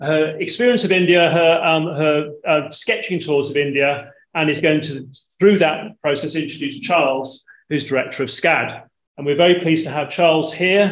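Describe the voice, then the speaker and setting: This man talks at a moderate pace with ordinary pitch variation, and there is audible room echo. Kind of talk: event introduction. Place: hall.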